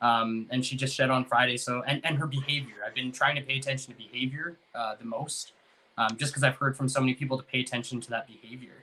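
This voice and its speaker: Talking at a very fast pace, a man with a medium pitch keeps a flat, monotone intonation. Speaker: ball python breeder, podcast host. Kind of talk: casual podcast chat.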